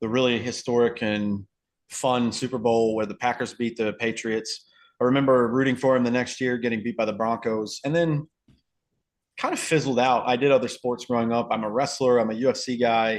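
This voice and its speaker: A man's medium-pitched voice, fairly quick and monotone with flat intonation, over a quiet background. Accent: Southern US. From US South, North Carolina. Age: 30s. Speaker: podcast guest, football fan. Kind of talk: casual chat.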